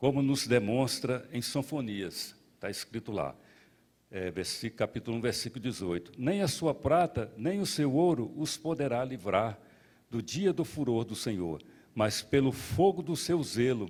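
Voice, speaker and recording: A man talks at a fairly slow pace with very wide pitch swings, in a very clean recording with a silent background. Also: medium pitch for a man. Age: 60s. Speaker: pastor. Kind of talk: sermon. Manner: halting.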